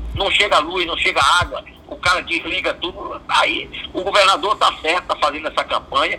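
This man's fairly quick speech comes through with noticeable noise in the background. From Bahia, Brazil. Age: 70s. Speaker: business federation president. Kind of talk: interview.

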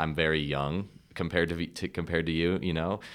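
A man speaks in a very deep, low voice with vocal fry and fairly even intonation, on a very clean recording with a silent background. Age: young. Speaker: podcast host. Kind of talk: casual interview chat.

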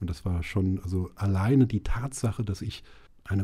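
A man's fairly low, somewhat breathy voice with a dark, mellow tone, at a moderate pace. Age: 40s. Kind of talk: interview. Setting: studio. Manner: hesitant, many fillers.

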